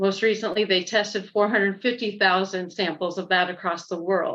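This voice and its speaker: In an unremarkable speaking voice, a woman with an American accent talks at a moderate pace with medium pitch and fairly even intonation. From Nebraska, York County. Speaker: farmer and rural advocate. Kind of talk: round table presentation. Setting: video call.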